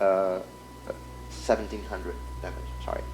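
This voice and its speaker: A man with a non-native accent at a moderate pace, with music in the background. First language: not English. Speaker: indie game developer. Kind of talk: gameplay demo walkthrough. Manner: halting, many fillers and restarts.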